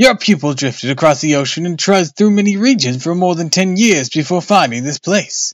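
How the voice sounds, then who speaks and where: A man puts on a character voice pitched high. He talks at a fairly quick pace with hardly any pauses. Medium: read story. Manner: humble, deferential.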